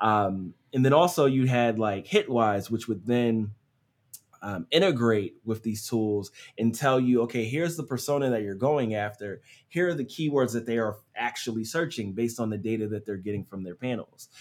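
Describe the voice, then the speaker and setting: A man with an American accent talks at a moderate pace in a medium pitch with ordinary pitch variation. It is a normal speaking voice. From US Northeast, Philadelphia. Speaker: SEO agency owner. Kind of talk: casual interview.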